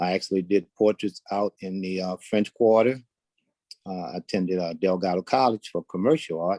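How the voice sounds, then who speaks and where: A man with a very deep, low voice and an American accent, fairly even intonation at a moderate pace, in a dry, close recording with no echo. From New Orleans, Louisiana. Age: 60s. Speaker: blind panelist. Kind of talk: personal testimony.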